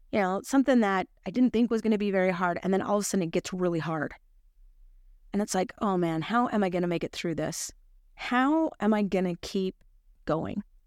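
An animated woman's voice at medium pitch and a fairly quick pace, with ordinary pitch variation, a dry, close sound with no echo, and a very clean recording against a silent background. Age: 50s. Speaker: religious podcast host. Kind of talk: scripture study talk.

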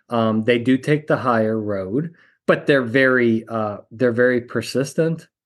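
The pace is fairly slow, and the pitch varies in an ordinary way. The background is quiet. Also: man, medium pitch for a man. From Pennsylvania, Wilkes-Barre. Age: 50s. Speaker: jury consultant and psychologist. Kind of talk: interview. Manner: animated.

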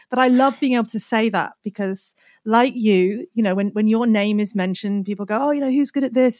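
A woman speaks at a fairly quick pace with a fairly high pitch. Her tone is dark and mellow, with fairly even intonation. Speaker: SEO expert and course creator. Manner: fast talker; brusque, dark humor.

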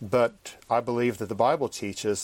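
Speaking at a fairly slow pace, a man at medium pitch has a plain, everyday voice. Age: 50s. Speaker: professor and preacher. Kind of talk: interview.

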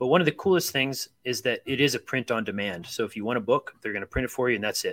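Very fast speech in a Midwestern American accent with ordinary pitch variation, in a dry, close sound with no echo. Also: man, medium pitch for a man. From US Midwest, Akron, Ohio. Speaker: author and librarian. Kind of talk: casual chat.

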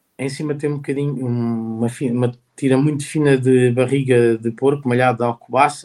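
Medium-pitched male speech, monotone and flat in intonation. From Portugal, Santarém. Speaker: chef. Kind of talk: interview. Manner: halting, many repetitions.

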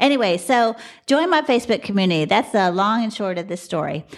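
An animated, fairly quick delivery with an American accent. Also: woman. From Texas, Dallas. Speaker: podcast host and box truck driver. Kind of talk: casual monologue.

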